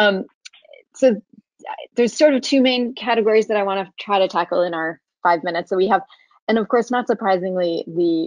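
A woman speaks at a moderate pace with ordinary pitch variation. The sound is dry with no echo, and the background is quiet. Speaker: webinar moderator. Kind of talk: webinar introduction and moderation. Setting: video call. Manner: halting, many fillers. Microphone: video call.

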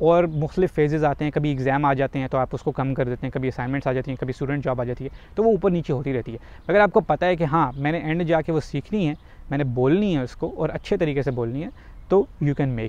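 A man speaks fairly quickly in a fairly high voice. His pitch varies in an ordinary way, and the sound is dry with no echo. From Pakistan. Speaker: YouTuber. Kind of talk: vlog tutorial. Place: waterside. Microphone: lapel.

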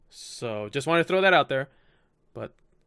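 The background is silent apart from the voice. It belongs to a man. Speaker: gaming youtuber. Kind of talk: casual vlog outro. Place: home room. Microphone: studio mic.

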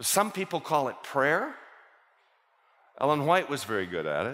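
The pitch swings widely up and down. The tone is fairly bright, and the pace is moderate. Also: man, medium pitch for a man.

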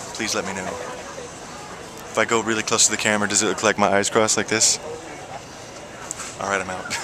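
A man talks at a very fast pace in a fairly low, flat monotone, with long, frequent pauses and noticeable background noise. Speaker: singer. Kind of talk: casual vlog talk to camera. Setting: outdoors. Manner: hesitant, filler-heavy.

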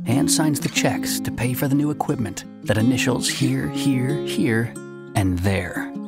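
Loud music plays in the background while a man talks at a moderate pace. His voice has a dry sound with no echo. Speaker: voice actor. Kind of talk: TV commercial read. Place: booth.

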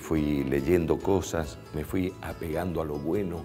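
Ordinary pitch variation with clear music in the background. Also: man. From Bolivian Chaco. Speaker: radio announcer and TV presenter. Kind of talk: interview answer. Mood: warm, reflective. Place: studio. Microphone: lapel.

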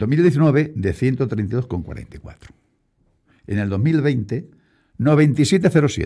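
A man with a dark, mellow tone lets his pitch swing very widely. Vocal fry runs through his speech over a quiet background. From Spain, Castilla-La Mancha (Puertollano). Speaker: local politician, deputy mayor. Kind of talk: radio interview. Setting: radio studio. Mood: defensive, argumentative. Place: studio. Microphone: studio mic.

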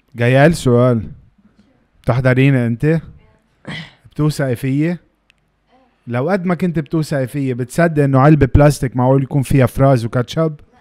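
A man's fairly high voice, dark and mellow in tone, at a moderate pace with long, frequent pauses, fairly even intonation and a dry, close sound with no echo. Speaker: guest. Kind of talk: casual chat.

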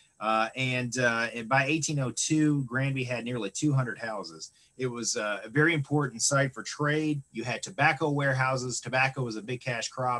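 A man's bright, sharp tone at a moderate pace, with ordinary pitch variation. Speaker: museum director; presenter. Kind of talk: online lecture presentation. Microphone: video call.

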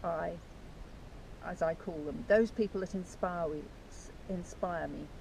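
Over light background noise, a woman speaks fairly slowly with a dark, mellow tone and vocal fry, in a dry sound with no echo. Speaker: author and channel host. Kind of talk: casual talk to camera. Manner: enthusiastic. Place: beach. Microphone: camera far.

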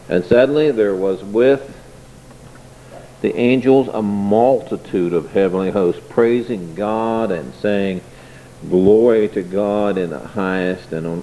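Speaking at a very slow pace with long, frequent pauses, a man uses a fairly low pitch and ordinary pitch variation over light background noise. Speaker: preacher. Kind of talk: sermon scripture reading. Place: church.

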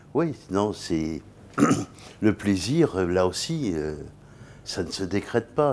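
A man's very deep, low voice with a dark, mellow tone, a very slow pace, and lively intonation. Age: 70s. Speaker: business executive; interview guest. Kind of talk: interview. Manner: halting. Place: studio. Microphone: lapel.

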